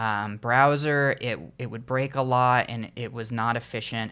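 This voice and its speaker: A loud man with a medium pitch, a bright, sharp tone, and monotone, flat intonation at a moderate pace, on a very clean recording with a silent background. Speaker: indie game developer. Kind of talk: casual vlog talk. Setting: home recording with headphones on. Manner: halting, many fillers.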